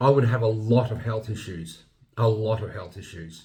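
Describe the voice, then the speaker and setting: Somewhat breathy, a man speaks at a moderate pace with audible room echo. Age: 50s. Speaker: health vlogger. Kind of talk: opinion monologue. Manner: casual, some repetition and hesitation.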